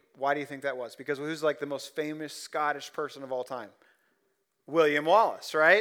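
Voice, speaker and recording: A man with a Midwestern American accent in a very clean recording with a silent background. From Ohio (Columbus, rural). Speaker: pastor. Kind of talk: sermon. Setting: church.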